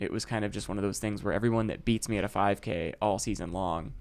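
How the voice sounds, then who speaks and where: Vocal fry runs through this man's fairly low voice as he talks at a very fast pace in an American accent with ordinary pitch variation. The recording is very clean, with a silent background. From US Midwest, Chicago. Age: 30s. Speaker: ultrarunner. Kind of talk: casual chat. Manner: halting.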